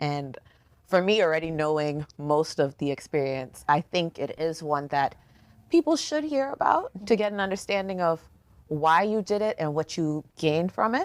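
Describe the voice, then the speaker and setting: Here is a woman with an ordinary speaking voice and a fairly low pitch. She keeps a moderate pace with ordinary pitch variation. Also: dry, close sound with no echo. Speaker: podcast co-host. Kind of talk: interview question.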